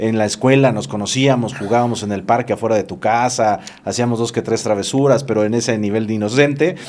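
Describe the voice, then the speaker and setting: Over noticeable background noise, a man at medium pitch talks with hardly any pauses. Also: ordinary pitch variation, fairly quick pace. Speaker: podcast host. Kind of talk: casual interview chat. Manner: fast.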